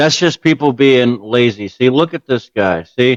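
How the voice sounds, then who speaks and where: A man at medium pitch. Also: dry, close sound with no echo. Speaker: gaming streamer reacting to video. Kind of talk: reaction commentary. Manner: animated; fast.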